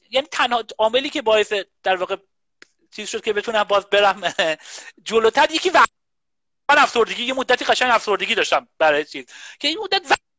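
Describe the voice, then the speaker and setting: In a raised, projected voice with a bright, sharp tone, the speaker rushes at a very fast pace with lively intonation and long, frequent pauses, the sound dry and close with no echo. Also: man, high pitch for a man. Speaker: computer science professor. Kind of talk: casual interview chat. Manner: halting, many fillers. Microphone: echo and too loud microphone.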